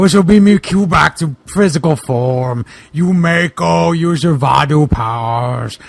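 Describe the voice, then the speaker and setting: The man puts on a character voice, pitched fairly high and delivered at a fairly slow rate. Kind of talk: comic overacting. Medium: read story. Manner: grandiose, archaic phrasing.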